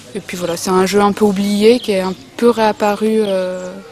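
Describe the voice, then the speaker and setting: A woman speaks at medium pitch and a moderate pace, with monotone, flat intonation. Noticeable background noise is present. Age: 20s. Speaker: photography student and artist. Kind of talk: artist interview. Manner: halting, many hesitations and repetitions.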